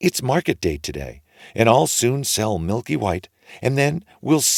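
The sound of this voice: The text comes across in an unforced reading voice.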